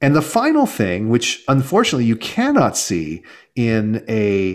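A plain, everyday voice: a man with an American accent, medium pitch, fairly slow pace, very clean recording and silent background. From Southern California, Los Angeles. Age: 40s. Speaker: startup investor and author. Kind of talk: interview.

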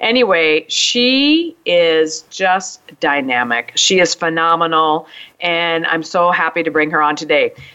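Speaking at a fairly slow pace, a woman with a fairly low voice shows ordinary pitch variation and very even loudness. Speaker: podcast host and business coach. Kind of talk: interview. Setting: radio studio. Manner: animated.

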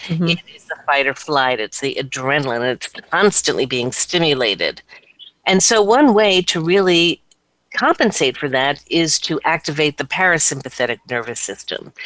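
A woman at a fairly low pitch with lively intonation and a moderate pace, big swings in loudness, and a dry, close sound with no echo. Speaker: performance and psychology coach. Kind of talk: interview on a radio talk show.

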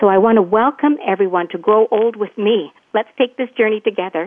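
With a Canadian accent, a woman speaks in an unremarkable speaking voice at medium pitch, with ordinary pitch variation and a moderate pace. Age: 60s. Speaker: retired nurse and wellness coach. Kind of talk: interview.

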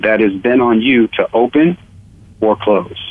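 A man speaks at a moderate pace in a normal speaking voice. His pitch sits at a medium level. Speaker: returning guest, former scholarship athlete. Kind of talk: talk radio discussion.

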